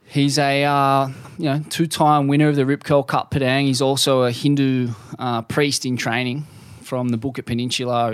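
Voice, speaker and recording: A man with a plain, everyday voice at a medium pitch, fairly quick pace and fairly even intonation. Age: 30s. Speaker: surf journalist. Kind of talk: casual interview.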